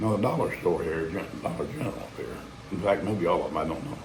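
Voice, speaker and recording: A man talks at a very fast pace. Room echo is audible, and there is noticeable background noise. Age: old. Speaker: vlogger. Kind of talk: casual monologue. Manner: rambling, halting.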